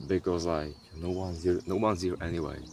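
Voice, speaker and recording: A man speaks with a non-native accent at a very deep, low pitch. Music plays in the background. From Europe. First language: not English. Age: young. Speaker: content creator. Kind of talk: casual vlog monologue. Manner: halting, with repetitions.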